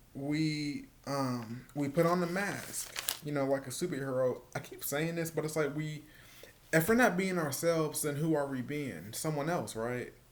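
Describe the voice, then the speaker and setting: A man talks at medium speed with normal pitch movement, his voice carrying audible room echo along with noticeable noise behind it. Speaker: vlogger. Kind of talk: personal vlog monologue. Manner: halting, repetitive.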